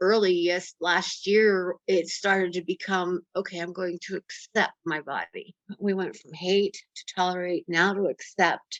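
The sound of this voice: Recorded with a dry, close sound with no echo, a woman speaks at a fairly slow pace in a fairly bright tone and a fairly low pitch.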